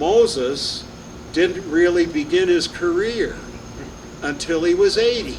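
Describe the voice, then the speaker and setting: A man with a high voice speaks at a very slow pace, leaving long, frequent pauses. There is noticeable background noise and audible room echo, and his pitch varies in an ordinary way. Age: 80s+. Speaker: retired pastor. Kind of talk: birthday speech. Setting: restaurant event with audience. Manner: halting.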